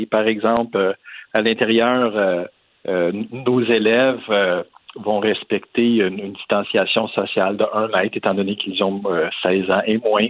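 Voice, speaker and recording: A man with fairly even intonation. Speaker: private school director. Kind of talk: interview. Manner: halting.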